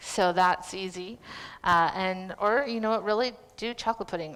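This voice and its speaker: A woman with a Canadian accent has an ordinary speaking voice at medium pitch and fairly even intonation, in a very clean recording with a silent background. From western Canada, North Vancouver. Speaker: cooking demonstrator. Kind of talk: live cooking demonstration.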